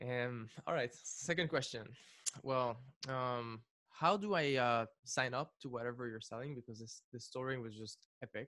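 The man's voice sits at a medium pitch with a bright, sharp tone. His loudness swings widely. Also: ordinary pitch variation, moderate pace, quiet background. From Lebanon. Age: 20s. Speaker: music producer and YouTuber; interview host. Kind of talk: casual chat. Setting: video call. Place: studio. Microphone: studio mic.

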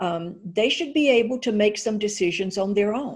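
Over a quiet background, a woman speaks with lively intonation and a somewhat breathy voice. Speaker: candidate. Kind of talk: interview answer. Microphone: video call.

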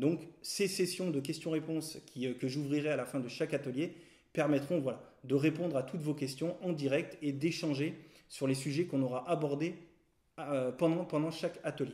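A man with a dark, mellow tone and a fairly high pitch speaks at a moderate pace with fairly even intonation over a quiet background. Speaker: photography teacher. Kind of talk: tutorial. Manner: hesitant, with frequent fillers and repeated words. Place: home room.

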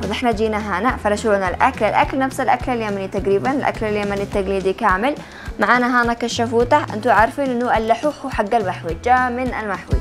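Over clear background music, a woman with a Yemeni accent talks at a moderate pace with ordinary pitch variation and hardly any pauses. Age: young. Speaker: travel show host. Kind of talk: travel show presenting to camera.

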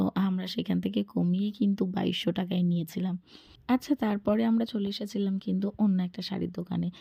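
A dark, mellow tone, somewhat breathy. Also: woman, medium pitch for a woman, ordinary pitch variation. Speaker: vlogger. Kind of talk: vlog narration. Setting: market.

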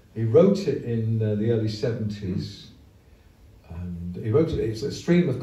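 A man speaks at a moderate pace, with audible room echo. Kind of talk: onstage song introduction. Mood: relaxed, humorous. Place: stage.

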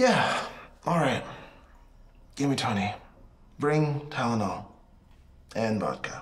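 This man talks at a fairly slow pace. His pitch swings very widely. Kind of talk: acted phone call dialogue. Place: home room.

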